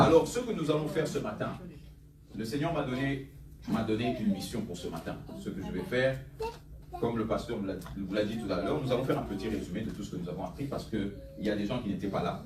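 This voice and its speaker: With audible room echo and noticeable background noise, a man talks at a very fast pace with lively intonation and long, frequent pauses. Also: medium pitch for a man. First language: English (speaking French). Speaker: pastor. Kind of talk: sermon. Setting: church with congregation. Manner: animated.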